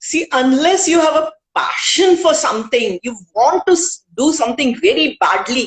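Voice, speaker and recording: Speaking in an Indian accent, the voice makes very wide pitch swings with hardly any pauses. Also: woman, high pitch for a woman, moderate pace. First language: Hindi. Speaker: author and poet. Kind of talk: interview.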